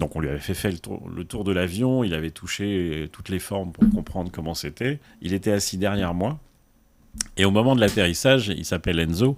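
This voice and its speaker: Over a silent background in a very clean recording, a man with a very deep, low pitch talks at a fairly quick pace with ordinary pitch variation. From Paris, France. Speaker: association president and volunteer pilot. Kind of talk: podcast interview, storytelling. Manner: hesitant, with many fillers.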